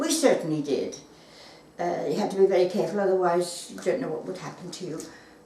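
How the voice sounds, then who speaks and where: A woman speaks with lively intonation. Noticeable background noise and audible room echo fill the recording. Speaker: wartime witness. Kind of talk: oral history interview. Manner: halting.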